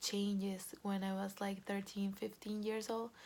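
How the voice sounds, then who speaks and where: Speaking in a flat monotone, a woman with a Venezuelan accent uses a medium pitch. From Venezuela, Caracas. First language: Spanish. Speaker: Venezuelan expat sharing her experience. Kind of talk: personal testimony. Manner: hesitant, many fillers.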